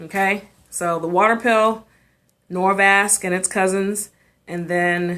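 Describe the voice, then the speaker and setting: An animated, bright and sharp woman's voice at a medium pitch with ordinary pitch variation, in an American accent. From US South. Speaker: physician hosting live health show. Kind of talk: live stream health Q&A. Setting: live video stream. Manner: fast.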